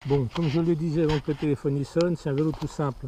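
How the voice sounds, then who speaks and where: A man speaks at a fairly quick pace with a dark, mellow tone. His voice is somewhat breathy, and his intonation stays fairly even. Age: 60s. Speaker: amateur cyclist vlogger. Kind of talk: casual show-and-tell video. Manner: hesitant, many fillers.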